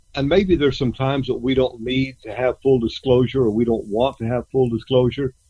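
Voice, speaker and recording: Talking at a fairly quick pace with hardly any pauses, a man with an American accent has a somewhat breathy, dark, mellow tone at a medium pitch and fairly even intonation. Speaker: ranch consultant and coach. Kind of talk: casual radio interview.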